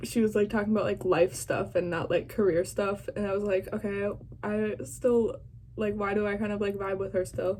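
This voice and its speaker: This woman speaks at a moderate pace and medium pitch. Her intonation stays fairly even. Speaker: vlogger reacting to an interview. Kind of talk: casual reaction vlog. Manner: loud.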